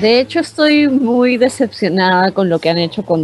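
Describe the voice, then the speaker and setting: There is music in the background. Over it, a woman talks. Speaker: TV series fan panelist. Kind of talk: casual chat.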